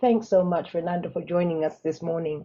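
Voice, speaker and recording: A woman speaks with an East African accent. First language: Swahili. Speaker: webinar moderator. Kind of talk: panel moderation.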